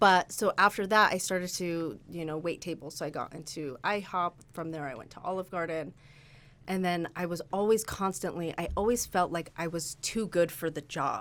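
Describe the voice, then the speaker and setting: A woman with an American accent and an ordinary speaking voice talks at a moderate pace and fairly low pitch, with ordinary pitch variation and big swings in loudness. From Utah, Salt Lake City. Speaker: real estate agent. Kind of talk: casual interview chat. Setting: office studio.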